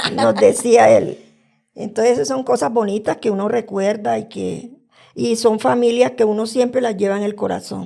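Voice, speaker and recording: Her fairly high voice moves at a moderate pace, and the woman keeps her intonation fairly even. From Colombian Caribbean coast (Purísima, Córdoba). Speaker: podcast guest. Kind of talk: storytelling.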